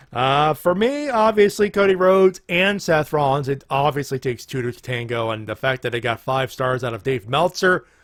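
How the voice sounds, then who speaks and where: His pace is moderate. This man's pitch rises and falls across a very wide range. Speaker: wrestling podcast host. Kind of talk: casual chat. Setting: live stream. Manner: animated.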